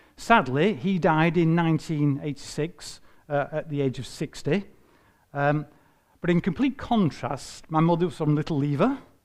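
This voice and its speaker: In a Lancashire accent, a man speaks at a moderate pace with a fairly high pitch and ordinary pitch variation, on a very clean recording with a silent background. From northern England, Bolton. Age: 60s. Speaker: retired environmental health officer. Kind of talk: personal talk to church group. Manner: hesitant, many fillers.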